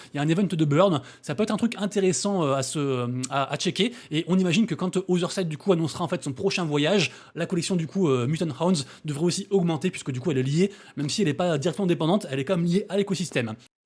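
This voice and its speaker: On a very clean recording with a silent background, a high-pitched man mumbles at a very fast pace with ordinary pitch variation. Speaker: crypto and NFT YouTuber. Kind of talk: daily news roundup video. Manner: mumbled, little articulation.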